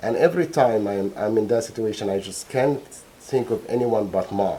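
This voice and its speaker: A man speaks at a fairly quick pace. He has a slight non-native accent. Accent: slight foreign. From Egypt, Alexandria. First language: Arabic. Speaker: trial witness, bereaved father, scientist. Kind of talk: court testimony. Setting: courtroom. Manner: halting, many repetitions and fillers.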